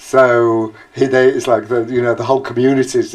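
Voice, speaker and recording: The speech moves at a moderate pace. Noticeable background noise runs under it. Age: 50s. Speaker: oral history interviewee. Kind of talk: oral history interview. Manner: halting.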